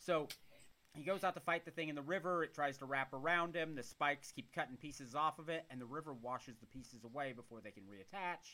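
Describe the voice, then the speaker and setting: Very fast and animated, a man speaks at a fairly high pitch in a bright, sharp tone with ordinary pitch variation. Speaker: podcast host. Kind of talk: casual chat. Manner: joking, animated.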